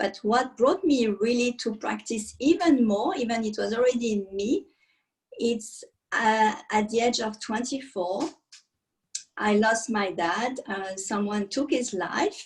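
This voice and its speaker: Lively intonation runs through a voice that is somewhat breathy. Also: woman, fairly high pitch for a woman, fairly slow pace. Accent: French. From France (countryside). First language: French. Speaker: meditation and yoga teacher. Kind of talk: interview testimony.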